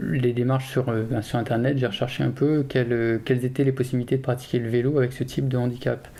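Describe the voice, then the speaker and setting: This man's voice sits at a medium pitch and moves at a fairly quick pace. His intonation is monotone and flat. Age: 30s. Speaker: amputee mountain biker and engineer. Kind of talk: documentary interview testimony. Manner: hesitant, many fillers.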